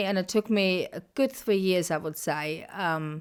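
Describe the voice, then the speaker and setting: Spoken with a German accent and fairly even intonation, the voice sits on a very clean recording with a silent background. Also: woman. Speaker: podcast host. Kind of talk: casual interview chat. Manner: long-winded, circling.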